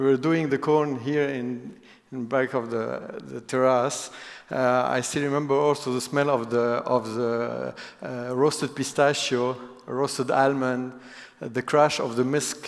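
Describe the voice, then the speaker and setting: A man's medium-pitched voice with a non-native accent, flat monotone intonation and a fairly slow pace. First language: not English. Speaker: business executive. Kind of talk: keynote talk. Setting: stage with audience. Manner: halting.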